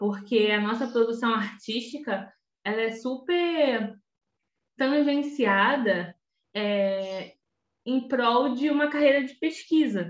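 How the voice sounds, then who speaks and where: Very slow speech with long, frequent pauses and ordinary pitch variation. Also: woman, fairly high pitch for a woman. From Rio de Janeiro state, Belford Roxo. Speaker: teacher and researcher, podcast co-host. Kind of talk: casual chat.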